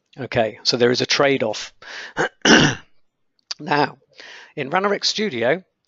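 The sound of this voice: A man's put-on character voice, raspy and croaky, medium in pitch, at a moderate pace with long, frequent pauses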